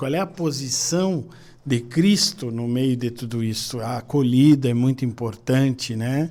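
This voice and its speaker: A man with a medium-pitched, ordinary speaking voice talks at a fairly slow pace with lively intonation. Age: 60s. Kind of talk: podcast interview.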